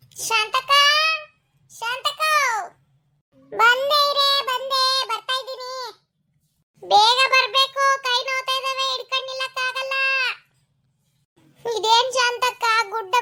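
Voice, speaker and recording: A cartoonish character voice, squeaky and raised to a projected level. It moves at a fairly slow pace with fairly even intonation. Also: woman. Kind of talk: cartoon voice acting.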